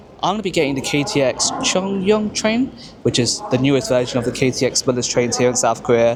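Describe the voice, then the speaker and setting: A man at a medium pitch talks at a fairly quick pace with lively intonation. Noticeable background noise sits behind him. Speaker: travel vlogger. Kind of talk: travel vlog narration. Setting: on a train.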